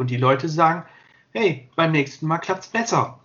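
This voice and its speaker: Lively intonation marks this man's ordinary speaking voice, fairly high in pitch and at a moderate pace. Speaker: sports videographer. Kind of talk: interview.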